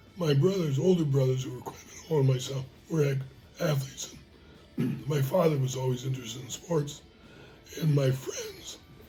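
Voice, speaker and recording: A man speaks fairly quickly at a fairly high pitch with fairly even intonation, big swings in loudness, long, frequent pauses, and audible room echo. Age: 80s+. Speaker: retired teacher and coach. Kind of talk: interview.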